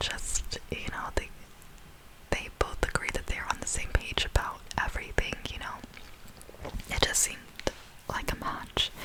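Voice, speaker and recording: A woman whispers at a fairly slow pace while noticeable noise sits in the background. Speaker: ASMR creator. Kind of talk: ASMR storytime commentary on a reality show. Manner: whispered, soft, slow.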